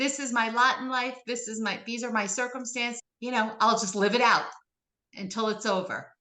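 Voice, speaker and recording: With audible room echo, a woman speaks at a moderate pace and ordinary pitch variation, leaving long, frequent pauses. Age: 50s. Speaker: author. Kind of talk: interview.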